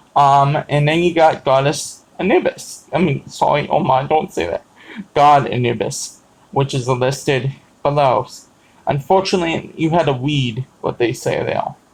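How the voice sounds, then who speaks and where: A man's somewhat breathy, fairly high voice at a fairly slow pace with ordinary pitch variation. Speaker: pagan vlogger. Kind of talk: casual talk to camera. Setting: live stream. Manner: halting, many fillers.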